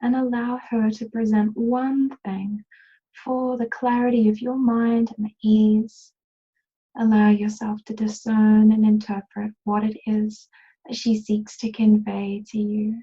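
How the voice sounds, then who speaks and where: The voice has a dark, mellow tone and is somewhat breathy. Its delivery is fairly slow, with a monotone, flat intonation. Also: woman. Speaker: healer and meditation guide. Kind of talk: guided meditation. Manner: soft-spoken, slow.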